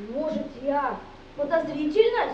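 A woman's voice with music in the background. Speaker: amateur stage actor. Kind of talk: theatrical monologue. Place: hall. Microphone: camera far.

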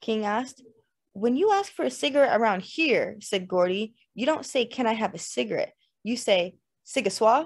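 Lively intonation in plain reading aloud, quiet background behind it

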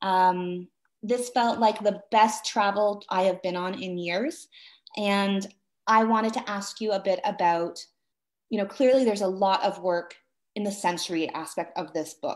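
In a Canadian accent, a woman talks at a moderate pace with ordinary pitch variation. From Canada. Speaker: book event moderator and writer. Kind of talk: interview. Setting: video call. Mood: warm, enthusiastic. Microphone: video call.

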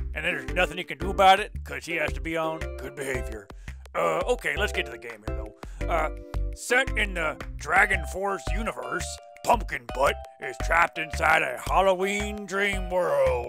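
Clear background music behind a put-on character voice moving at a moderate pace. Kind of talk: comedic game review show hosting. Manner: casual, rambling, laid-back.

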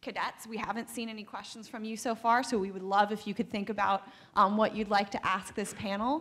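A woman speaking at a fairly quick pace, in a monotone, flat intonation. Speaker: panel moderator. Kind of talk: panel introduction. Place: hall. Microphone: podium.

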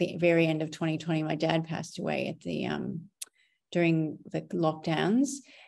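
Against a quiet background, a woman speaks at a moderate pace with vocal fry. Her pitch is fairly low and her intonation fairly even. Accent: American. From North Dakota, US. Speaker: photographer, business owner. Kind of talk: podcast interview answer. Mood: reflective, somewhat somber. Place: home room. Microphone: webcam.

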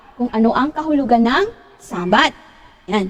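The pitch swings very widely at a moderate pace. Noticeable background noise sits behind the voice. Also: woman. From Philippines, Pangasinan. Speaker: lay preacher / Bible teacher. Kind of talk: Bible study talk. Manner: halting, many fillers.

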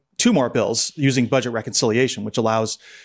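Against a quiet background, a man talks at a very fast pace. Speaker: podcast co-host. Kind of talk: news commentary. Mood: wry, critical. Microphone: studio mic.

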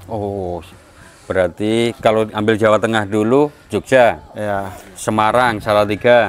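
Intonation stays fairly even as the speaker goes at a very slow pace. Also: man, fairly low pitch for a man. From Java, Indonesia. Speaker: machine seller. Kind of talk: casual vlog talk. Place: garage.

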